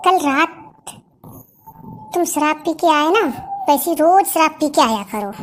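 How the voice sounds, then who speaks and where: A cartoonish character voice, female-sounding and extremely high-pitched, with long, frequent pauses. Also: moderate pace. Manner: demanding, quick to take offense.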